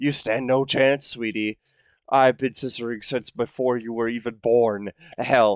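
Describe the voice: Over a quiet background comes plain reading aloud, its intonation fairly even.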